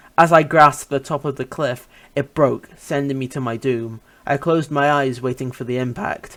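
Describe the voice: This is plain reading aloud. The text is read out.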